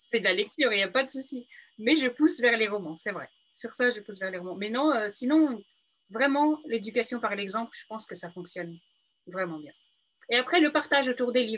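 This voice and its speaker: A woman talks at a fairly quick pace in a fairly high voice. Her intonation is lively, and her loudness swings widely. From Paris region, France. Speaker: book influencer. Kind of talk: interview. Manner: halting.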